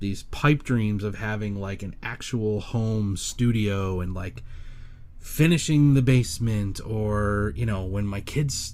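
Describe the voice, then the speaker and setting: With ordinary pitch variation, a man speaks at a fairly slow pace in a fairly low register. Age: 40s. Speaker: solo podcaster. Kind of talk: casual monologue. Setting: bedroom home studio. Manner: halting, many fillers. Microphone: studio condenser mic clamped to desk.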